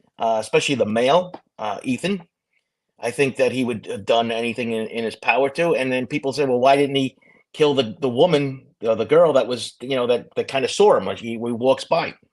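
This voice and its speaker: With a Brooklyn accent, a man of medium pitch speaks at a fairly quick pace with ordinary pitch variation. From New York, Brooklyn. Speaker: retired police officer and true crime host. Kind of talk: casual podcast discussion. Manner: halting, repetitive.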